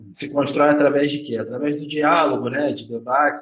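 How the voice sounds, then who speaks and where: Speaking at a moderate pace, a man with a fairly high pitch is heard with audible room echo. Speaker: university professor. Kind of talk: lecture in informal dialogue with students.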